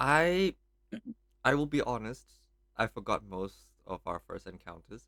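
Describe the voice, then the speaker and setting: With a strong Thai accent, a man at medium pitch speaks at a fairly slow pace with long, frequent pauses, very wide pitch swings and big swings in loudness, his tone bright and sharp and the sound dry and close with no echo. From Thailand. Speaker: podcast co-host, PhD student. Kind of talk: casual chat.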